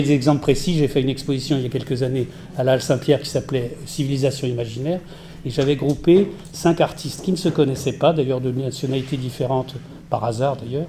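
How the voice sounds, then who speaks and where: A very fast-talking man, fairly high in pitch, his intonation fairly even. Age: 60s. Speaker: art curator and critic. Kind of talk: panel discussion. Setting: round table with audience.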